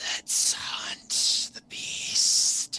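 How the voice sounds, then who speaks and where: Raspy put-on character voice. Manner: menacing.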